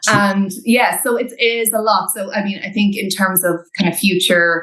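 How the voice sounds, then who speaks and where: A woman talks in an Irish accent at a moderate pace. Her medium-pitched voice keeps fairly even intonation. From Ireland. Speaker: recruitment specialist. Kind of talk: podcast interview.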